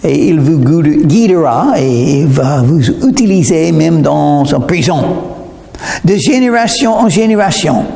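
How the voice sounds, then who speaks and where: A man speaks at a very slow pace with very wide pitch swings, amid audible room echo and noticeable background noise. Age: 70s. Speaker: preacher. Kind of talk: sermon.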